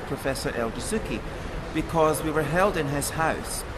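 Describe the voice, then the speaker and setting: Fairly high male voice in a Scottish accent at a fairly quick pace, with audible room echo and noticeable background noise. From Scotland. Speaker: former flight attendant, ex-hostage. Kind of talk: interview.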